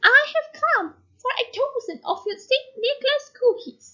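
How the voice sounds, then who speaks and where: A woman puts on a squeaky character voice at an extremely high pitch. She speaks at a moderate pace with lively intonation. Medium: read story. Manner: insistent, stern.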